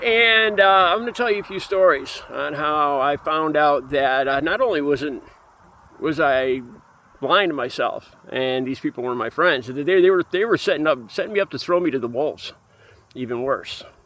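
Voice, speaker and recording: With an American accent, a man speaks at a moderate pace, his pitch fairly high and his intonation lively. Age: 50s. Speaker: recovering addict sharing his story. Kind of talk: personal testimony monologue. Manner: halting, many fillers and restarts.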